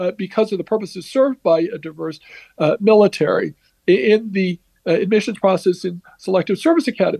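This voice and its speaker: The speech comes at a very fast pace with ordinary pitch variation and a dark, mellow tone, recorded in a dry, close sound with no echo. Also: man. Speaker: legal analyst. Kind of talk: interview, legal analysis. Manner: halting, many fillers.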